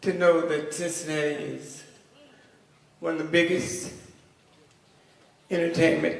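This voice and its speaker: A man speaks at a fairly slow pace with a fairly high pitch and monotone, flat intonation. There are long, frequent pauses, big swings in loudness, and audible room echo. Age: 80s+. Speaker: veteran music artist. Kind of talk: speech.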